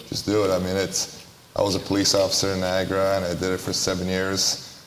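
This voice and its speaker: Amid audible room echo and noticeable background noise, a man speaks in a very deep, low voice. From Romania. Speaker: basketball trainer and entrepreneur. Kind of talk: panel discussion.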